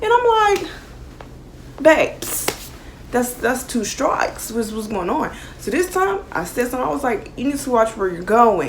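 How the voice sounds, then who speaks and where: A loud woman with a high pitch speaks at a fairly slow pace, her pitch swinging very widely. Long, frequent pauses come through amid noticeable background noise and audible room echo. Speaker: YouTuber. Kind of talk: storytime vlog. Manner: animated.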